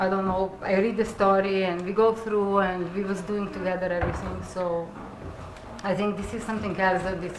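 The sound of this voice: With audible room echo around her, a woman speaks at a fairly low pitch with little pitch movement.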